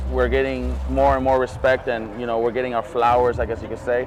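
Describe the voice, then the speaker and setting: There is noticeable background noise. A man talks at a very fast pace. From Imperial Valley, Southern California. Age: 30s. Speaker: DJ. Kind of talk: casual interview. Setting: outdoors at a music festival.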